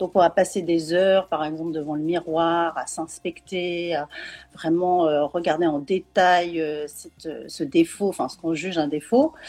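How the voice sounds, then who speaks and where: Her loudness swings widely as a woman talks fairly slowly at a fairly low pitch with fairly even intonation. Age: 40s. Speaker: parenting coach and neurofeedback trainer. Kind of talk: interview on live video. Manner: hesitant, many fillers.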